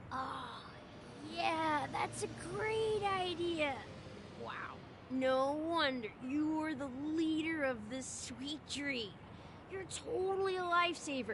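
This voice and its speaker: A woman performs a put-on character voice at a fairly slow pace, with long, frequent pauses. Loud background noise runs under her speech. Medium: video game. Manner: giddy, unreflective.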